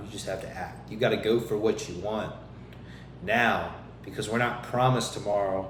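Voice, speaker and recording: Amid noticeable background noise and audible room echo, a man speaks at a moderate pace with ordinary pitch variation. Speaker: podcast host and fitness coach. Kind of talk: motivational monologue. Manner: stumbling, repeats words.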